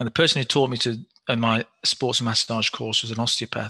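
Against a quiet background, a man speaks fairly quickly at medium pitch with ordinary pitch variation, vocal fry and a bright, sharp tone. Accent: British. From England. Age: 50s. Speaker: physiotherapist. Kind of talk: interview.

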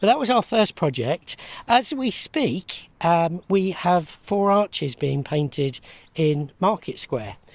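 On a very clean recording with a silent background and a dry, close sound with no echo, a man speaks very slowly in a high voice with very wide pitch swings. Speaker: arts development officer. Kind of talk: interview. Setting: outdoors.

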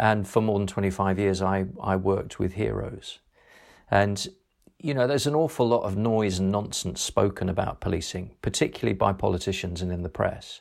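A man speaks at a fairly quick pace. His pitch sits fairly low, with ordinary pitch variation. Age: 50s. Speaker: retired police officer and author. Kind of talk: interview. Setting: remote call. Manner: hesitant, many fillers.

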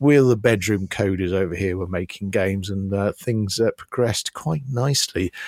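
A man speaks at a moderate pace with hardly any pauses, his pitch fairly low. His pitch varies in an ordinary way, and the sound is dry and close with no echo. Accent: British. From UK. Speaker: podcast co-host, former games salesman. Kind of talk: casual chat.

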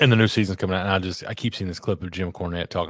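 A man's very deep, low voice with fairly even intonation in a very clean recording over a silent background. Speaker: podcast co-host. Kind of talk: casual chat.

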